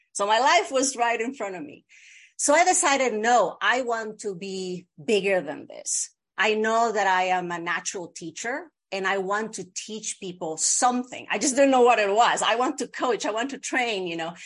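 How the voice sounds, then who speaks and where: With a Bolivian accent and lively intonation, this voice moves at a moderate pace with big swings in loudness against a quiet background. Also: woman, fairly high pitch for a woman. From Bolivia (La Paz). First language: Spanish. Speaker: video producer and media coach. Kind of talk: interview.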